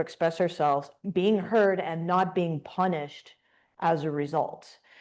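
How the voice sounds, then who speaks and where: This woman has a plain, everyday voice, pitched fairly low. She talks at a moderate pace against a quiet background. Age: 40s. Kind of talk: panel discussion.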